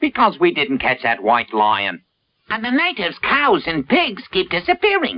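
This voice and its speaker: This is a cartoonish character voice at a middle pitch. It moves at a moderate pace. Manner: sly, gloating.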